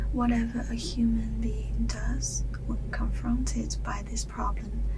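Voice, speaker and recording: A woman's soft-spoken whispering at a very slow pace, with noticeable background noise. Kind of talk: book reading aloud. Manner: whispered, soft-spoken.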